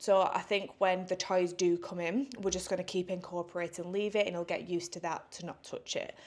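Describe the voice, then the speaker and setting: At a fairly quick pace with hardly any pauses, a woman with an English accent speaks at medium pitch in a monotone, flat intonation. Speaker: vlogger. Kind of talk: casual vlog talk.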